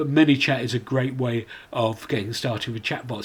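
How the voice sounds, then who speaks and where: A somewhat breathy man speaks with fairly even intonation. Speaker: commercial director presenting a webinar. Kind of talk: online presentation. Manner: fast.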